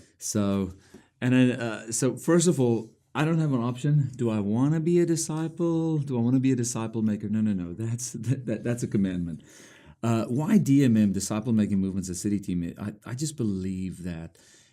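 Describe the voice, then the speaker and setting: In a very clean recording with a silent background, a man with a South African accent speaks at a fairly quick pace and medium pitch, his tone dark and mellow and his intonation lively. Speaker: ministry leader. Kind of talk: interview.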